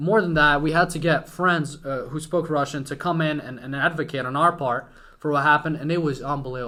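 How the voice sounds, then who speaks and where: The voice has a bright, sharp tone, fairly even intonation and a fairly quick pace. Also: man. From Ukraine, western (near Hungarian border). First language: Ukrainian. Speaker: entrepreneur. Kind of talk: casual chat.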